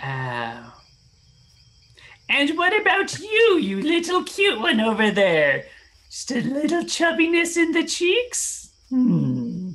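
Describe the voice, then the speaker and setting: A man puts on a sinister character voice at an extremely high pitch. He speaks at a very slow pace. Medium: actual play. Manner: syrupy, hospitable with a sinister edge.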